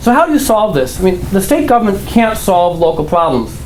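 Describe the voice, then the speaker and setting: A man with an American accent at a moderate pace, lively intonation, audible room echo and noticeable background noise. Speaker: political candidate. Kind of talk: campaign speech. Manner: animated.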